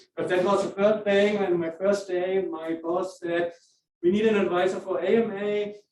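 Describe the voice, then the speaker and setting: A man with a German accent and a high pitch talks at a moderate pace with fairly even intonation. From Germany. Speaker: professor and club advisor. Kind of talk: informal talk to student meeting. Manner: halting, many fillers.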